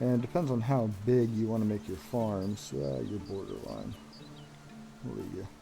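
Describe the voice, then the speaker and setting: With music in the background and audible room echo, a man at a fairly low pitch talks at a moderate pace using very wide pitch swings. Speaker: gaming streamer. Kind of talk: live gameplay commentary. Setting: live stream.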